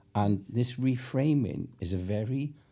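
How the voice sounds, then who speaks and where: A man with a dark, mellow tone, a Welsh accent and lively intonation. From Wales. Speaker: podcast host. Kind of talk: podcast interview.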